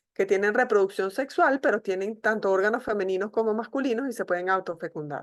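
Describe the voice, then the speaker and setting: Speaking at a fairly quick pace, a woman has an ordinary speaking voice. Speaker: medical school professor. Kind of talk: online lecture.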